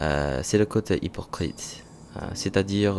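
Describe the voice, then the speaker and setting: A man speaking at a very slow pace with ordinary pitch variation. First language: not French (learner) (speaking French). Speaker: vlogger, French learner. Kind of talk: vlog monologue, reading own thoughts. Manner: halting, many hesitations.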